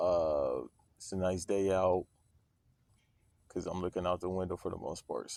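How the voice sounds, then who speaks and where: In a put-on character voice, a man speaks raspy and with a very deep, low pitch at a moderate pace, leaving long, frequent pauses. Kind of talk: casual, laid-back. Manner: relaxed, jazzy radio-host style.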